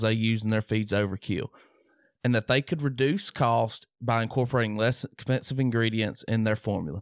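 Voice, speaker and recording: A man with a Southern US accent talks at a fairly quick pace and medium pitch with ordinary pitch variation, in a dry, close sound with no echo and a quiet background. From Mississippi. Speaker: podcast host. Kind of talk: casual chat. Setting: home studio.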